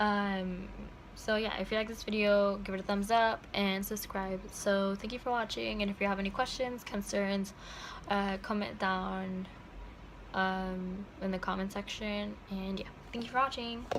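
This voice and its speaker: The speaker is a woman with a medium pitch. Her intonation stays fairly even. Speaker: parenting vlogger. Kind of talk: product recommendation vlog. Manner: fast; casual with many fillers.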